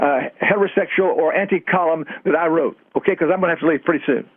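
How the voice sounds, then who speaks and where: Noticeable background noise runs through the clip. Over it, a man speaks very fast. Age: 80s+. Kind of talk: heated debate. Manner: hesitant, with frequent stammered repeats.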